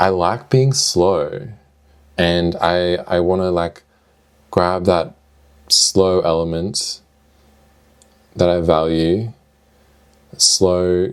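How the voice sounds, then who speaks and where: A man with a very deep, low pitch at a very slow pace, with fairly even intonation and long, frequent pauses. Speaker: video diarist and streamer. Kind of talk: casual video diary monologue. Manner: hesitant, with filler words and restarts.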